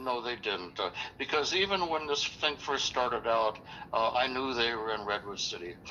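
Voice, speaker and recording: A medium-pitched man with lively intonation at a moderate pace, over noticeable background noise. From California, Los Angeles. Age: 70s. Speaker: caller. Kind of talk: phone call. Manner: halting.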